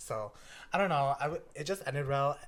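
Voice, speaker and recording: Moderate tempo and ordinary pitch variation from a man, fairly high-pitched and somewhat breathy. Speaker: podcast host. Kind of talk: casual chat. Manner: casual, filler-heavy.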